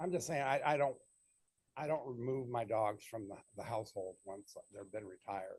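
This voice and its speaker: Somewhat breathy, a man talks at a medium pitch and a moderate pace with ordinary pitch variation. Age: 70s. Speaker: dog breeder applicant. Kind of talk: public hearing testimony.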